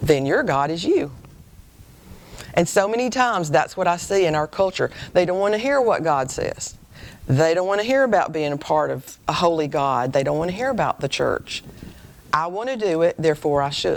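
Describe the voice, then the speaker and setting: With an American accent, a woman talks at a moderate pace and a fairly low pitch. Her pitch swings very widely. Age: 60s. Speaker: women's speaker, career teacher. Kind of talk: sermon.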